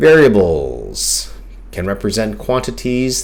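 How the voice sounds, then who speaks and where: A man talks in a calm tone at a very slow pace. Audible room echo and noticeable background noise surround him. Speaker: math teacher. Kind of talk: tutorial.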